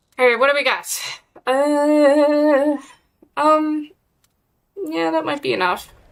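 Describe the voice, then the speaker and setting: A woman with a high voice talks very slowly, with ordinary pitch variation and long, frequent pauses. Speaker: gaming streamer. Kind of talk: live gameplay stream chat. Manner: sounds sarcastic.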